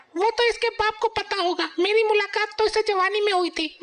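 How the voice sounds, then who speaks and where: A woman performs a cartoonish character voice at an extremely high pitch. She moves along at a fairly quick pace. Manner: brash, scolding.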